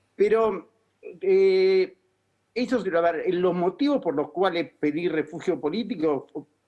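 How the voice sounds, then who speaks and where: Very slowly, a man speaks in a high pitch with lively intonation. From Argentina, Buenos Aires. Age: 60s. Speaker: political asylum seeker, former city advisor. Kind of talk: TV interview. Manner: halting, many self-corrections.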